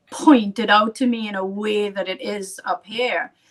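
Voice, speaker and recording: This woman speaks in a strong Trinidadian accent. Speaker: artist. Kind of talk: casual chat.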